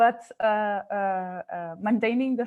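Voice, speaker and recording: The pace is very slow. The speaker has a Portuguese accent. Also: woman. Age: 30s. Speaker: radio sports reporter and union board member. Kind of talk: webinar panel discussion. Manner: halting.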